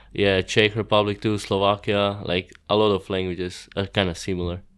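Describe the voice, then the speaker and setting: In a quiet background, a man with a fairly low pitch speaks in a monotone, flat way at a moderate pace. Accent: Croatian. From Croatia. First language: Croatian. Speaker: professional BMX rider. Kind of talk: podcast interview.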